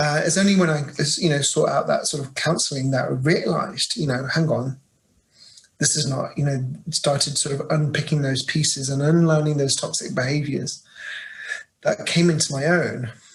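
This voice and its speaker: In a British accent, a man speaks at a fairly high pitch and a moderate pace with fairly even intonation. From England, Birmingham. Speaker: LGBTQ+ staff leader at an international organization. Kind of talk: interview. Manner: halting, many fillers.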